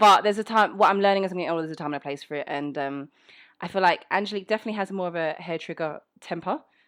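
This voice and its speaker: A woman at a very fast pace, medium in pitch, with a London accent. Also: very clean recording, silent background. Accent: British, London. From England, South London. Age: 30s. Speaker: voice actor. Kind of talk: casual Q&A monologue. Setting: home recording setup. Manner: casual, conversational.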